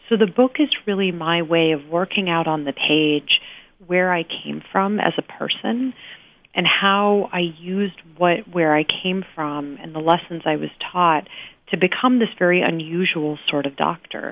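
A woman speaks in a plain, everyday voice, fairly low in pitch with ordinary pitch variation, at a fairly slow pace. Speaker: palliative care doctor and author. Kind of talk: interview. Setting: phone call. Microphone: buzz on the phone line at first.

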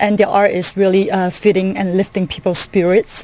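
Noticeable background noise behind a woman at a moderate pace, her pitch medium. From Malaysia, Kuala Lumpur. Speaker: artist and art business owner. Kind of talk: radio interview. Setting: studio.

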